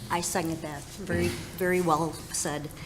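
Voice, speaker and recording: A woman speaks at a fairly slow pace with ordinary pitch variation. There is audible room echo and noticeable background noise. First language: not English. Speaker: school board applicant. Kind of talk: interview.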